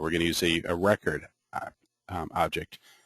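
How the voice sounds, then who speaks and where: A man is speaking. The background is quiet, and the sound is dry and close with no echo. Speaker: software trainer. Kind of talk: online training session. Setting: web meeting. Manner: fast; hesitant, many fillers.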